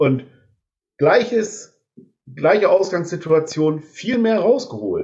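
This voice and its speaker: A man talks at a high pitch with lively intonation. His pace is very slow, with long, frequent pauses. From northern Germany (Delmenhorst). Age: 50s. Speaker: social care worker, musician. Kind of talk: casual chat.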